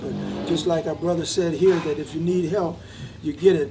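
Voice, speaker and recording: With a high pitch and ordinary pitch variation, a man talks through audible room echo and noticeable background noise. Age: 80s+. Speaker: war veteran. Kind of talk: interview. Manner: halting.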